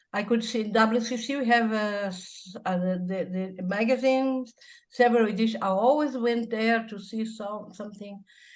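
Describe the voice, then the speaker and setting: Speaking at a moderate pace, a woman with a Brazilian accent uses a fairly high pitch. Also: fairly even intonation. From Brazil, north (Belém, Amazon region). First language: Portuguese. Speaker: church musician and hymnologist. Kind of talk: interview. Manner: halting, with many false starts.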